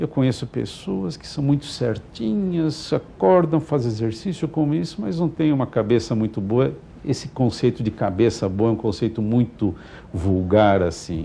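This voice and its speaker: At a moderate pace, a man with a medium pitch and a dark, mellow tone speaks with very wide pitch swings. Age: 60s. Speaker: physician. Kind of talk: TV interview.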